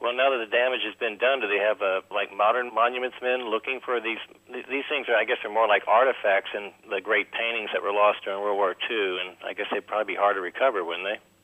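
A man with an American accent talks at a very fast pace with hardly any pauses, his fairly low voice keeping a fairly even intonation over noticeable background noise. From US, Miami. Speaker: caller. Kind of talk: call-in question. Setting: phone call.

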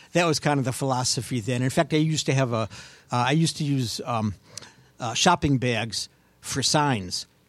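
A man with an American accent speaks in a normal speaking voice at a moderate pace, his medium pitch showing ordinary variation. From Cleveland, Ohio suburbs. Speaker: author. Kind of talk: casual chat.

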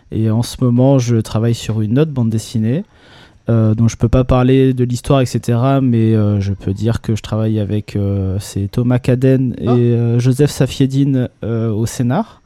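In a very clean recording with a silent background, a man with a dark, mellow tone talks fairly slowly at a medium pitch, his intonation fairly even. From Nice, southern France. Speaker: illustrator. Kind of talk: casual chat. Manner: halting.

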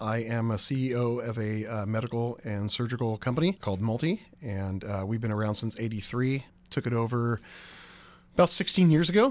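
At a moderate pace with ordinary pitch variation, the speaker uses a plain, everyday voice. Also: man, medium pitch for a man. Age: 40s. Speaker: company CEO. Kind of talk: interview.

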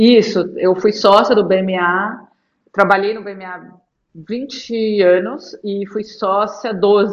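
Loudness swings widely as a woman speaks. She goes at a very slow pace with fairly even intonation. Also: medium pitch for a woman. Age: 40s. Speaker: lawyer and investor. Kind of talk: interview.

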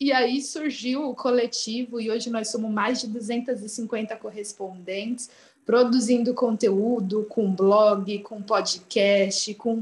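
Somewhat breathy speech unfolds at a very slow pace with fairly even intonation. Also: woman. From Brazil. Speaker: travel writer. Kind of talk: interview.

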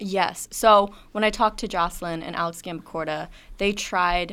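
A woman speaks in a normal speaking voice, fairly low with ordinary pitch variation. The recording is very clean, the background silent. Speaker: student women's lacrosse reporter. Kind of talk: sports analysis discussion.

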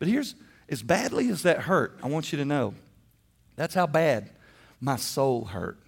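A man talks with vocal fry at a fairly high pitch. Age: 50s. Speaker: pastor. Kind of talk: sermon.

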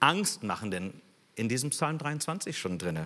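With a bright, sharp tone and vocal fry, a man talks at a fairly slow pace while his pitch swings very widely. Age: 60s. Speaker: guest preacher. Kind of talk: sermon.

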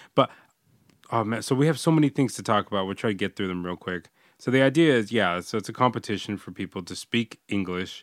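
Talking at a very fast pace, a man with a fairly low pitch uses lively intonation, heard in a dry, close sound with no echo on a very clean recording with a silent background. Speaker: podcast host; English teacher in Japan. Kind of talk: casual chat.

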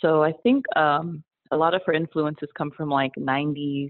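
Her pitch very deep and low, a woman talks with an American accent. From New Jersey. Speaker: podcaster. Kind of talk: recorded listener toast. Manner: hesitant, many fillers.

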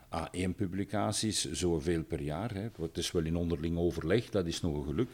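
The speaker is a man with a very deep, low voice. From Belgium, Dendermonde (East Flanders). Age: 60s. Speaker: retired university professor. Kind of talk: interview. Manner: hesitant with fillers and repetitions.

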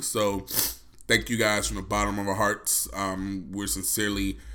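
At a moderate pace, a man speaks with a fairly low pitch and a bright, sharp tone. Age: 30s. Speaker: podcast co-host. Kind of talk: solo podcast monologue. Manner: casual, rambling.

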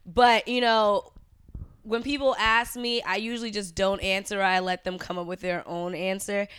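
The voice has an American accent and is a normal speaking voice, with ordinary pitch variation. It moves at a moderate pace in a very clean recording with a silent background. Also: woman, medium pitch for a woman. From US East Coast (New York, Florida). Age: 20s. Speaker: stand-up comedian. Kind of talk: casual chat.

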